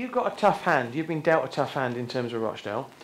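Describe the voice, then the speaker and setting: With a southern English accent, a man's pitch swings very widely amid audible room echo. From southern England. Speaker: interviewer. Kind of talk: stage interview.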